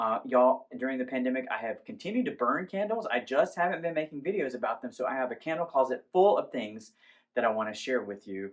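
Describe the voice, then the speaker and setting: Very fast speech from a man at medium pitch with lively intonation. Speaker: candle reviewer. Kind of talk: product review.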